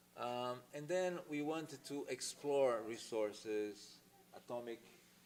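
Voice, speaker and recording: Speaking at a medium pitch, a man goes very slowly while noticeable background noise plays beneath. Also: ordinary pitch variation. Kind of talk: lecture.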